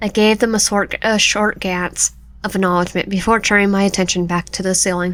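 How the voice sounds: Here is a natural reading voice. Its intonation stays fairly even.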